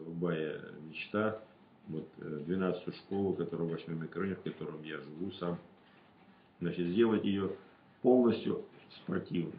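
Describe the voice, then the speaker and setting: Very deep and low in pitch, a man speaks fairly slowly with fairly even intonation and long, frequent pauses, with audible room echo around him. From rural Russia. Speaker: regional deputy. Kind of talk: interview answers; interview answer. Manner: halting, many fillers. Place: meeting room. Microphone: camera far.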